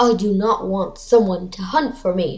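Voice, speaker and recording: In a put-on character voice, a woman growls at a moderate pace and a medium pitch. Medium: read story. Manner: sly, growly.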